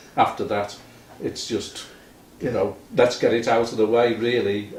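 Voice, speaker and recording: Speaking at a moderate pace, a man uses a somewhat breathy voice at medium pitch. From Liverpool, England. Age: 70s. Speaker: retired musician. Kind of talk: casual chat.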